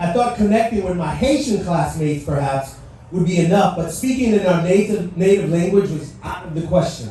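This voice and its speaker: A man speaks with lively intonation, a high pitch, and a moderate pace. Audible room echo and noticeable background noise are present. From Haiti. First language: French. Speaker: motivational speaker. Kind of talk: speech. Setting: stage with audience. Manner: animated.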